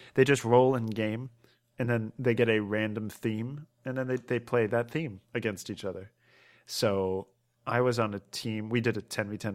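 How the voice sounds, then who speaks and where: The very clean recording with a silent background holds a man with an unremarkable speaking voice at a medium pitch. He talks at a moderate pace with ordinary pitch variation and big swings in loudness. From Maryland, US. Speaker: gaming podcast co-host. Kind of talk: casual chat.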